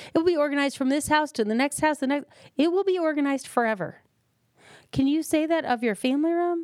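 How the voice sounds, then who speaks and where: Delivered at a very fast pace in an animated tone, the speech comes through on a very clean recording with a silent background. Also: woman. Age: 50s. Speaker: podcast host, professional organizer. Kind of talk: solo podcast monologue.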